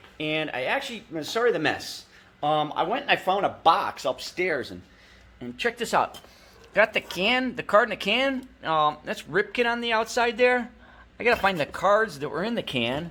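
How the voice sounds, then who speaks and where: Raised and projected, a man's high-pitched voice has a bright, sharp tone and very wide pitch swings. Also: moderate pace. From Cleveland, US Midwest. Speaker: sports card collector YouTuber. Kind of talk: casual video vlog. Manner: rambling, hesitant with many fillers.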